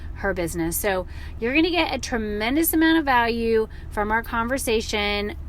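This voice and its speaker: A woman with an American accent, animated in tone, at a moderate pace amid noticeable background noise. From US South. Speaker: podcast host. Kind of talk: podcast interview.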